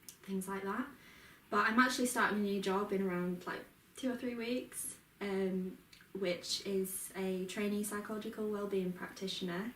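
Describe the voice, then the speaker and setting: A woman with a Yorkshire accent speaks at a moderate pace and medium pitch, her intonation fairly even, with audible room echo and noticeable background noise. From Yorkshire Dales, northern England. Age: 20s. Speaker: mental health peer support worker. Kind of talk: casual interview.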